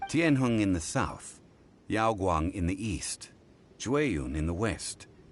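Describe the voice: Speaking slowly in a put-on character voice, a man uses a low pitch with big pitch swings.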